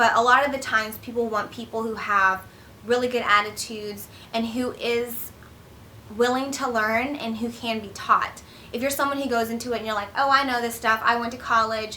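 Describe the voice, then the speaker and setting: A woman's fairly high voice at a fairly quick pace, with audible room echo. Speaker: accountant and career vlogger. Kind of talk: advice vlog. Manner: fast; casual, filler-heavy.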